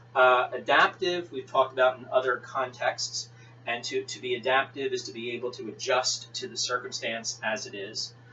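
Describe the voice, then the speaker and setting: Over music in the background, a man talks at a moderate pace and medium pitch. His pitch varies in an ordinary way, while his loudness swings widely. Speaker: teacher. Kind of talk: lecture. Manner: halting.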